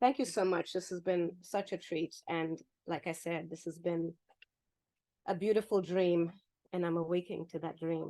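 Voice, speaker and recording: A woman with a Zimbabwean accent talks in a fairly low pitch. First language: Shona. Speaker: poet. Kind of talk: poetry reading; casual chat.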